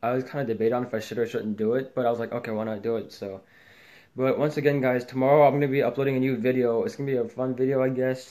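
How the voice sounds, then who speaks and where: Against a quiet background, a man with a dark, mellow tone speaks at a very fast pace with fairly even intonation. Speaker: YouTube vlogger; vlogger. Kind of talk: casual vlog outro. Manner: stumbling over words; halting. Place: home room. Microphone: phone near.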